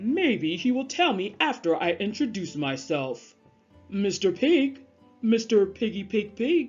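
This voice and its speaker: A woman speaks at a fairly slow pace in a put-on character voice of medium pitch, with faint music in the background. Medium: read story. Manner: polite, earnest.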